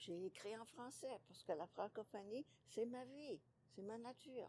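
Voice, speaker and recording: A woman with an unremarkable speaking voice talks at a fairly slow pace and a fairly high pitch. Her intonation is lively, with big swings in loudness. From Ontario, Canada. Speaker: author and retired teacher. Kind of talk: interview.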